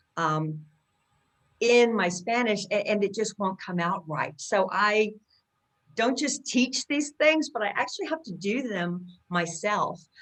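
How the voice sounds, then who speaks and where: Here is a woman with a plain, everyday voice and an American accent, pitched fairly high. She speaks at a fairly slow pace with lively intonation. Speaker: accent coach. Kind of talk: interview.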